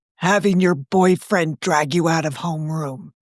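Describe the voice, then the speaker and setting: A woman growls in a put-on character voice, pitched fairly low, with fairly even intonation at a moderate pace. The sound is dry and close, with no echo. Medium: read story. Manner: dry, confiding.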